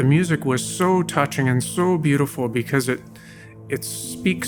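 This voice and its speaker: With music in the background, a man speaks using lively intonation. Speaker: parolee, former prisoner. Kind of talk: personal life story narration.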